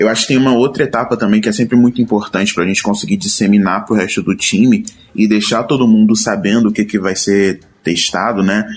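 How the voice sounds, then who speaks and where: In a normal speaking voice, a man with fairly low pitch speaks at a fairly quick pace, with fairly even intonation and very even loudness. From Rio de Janeiro, Brazil. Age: 20s. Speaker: UX designer. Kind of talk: casual panel discussion.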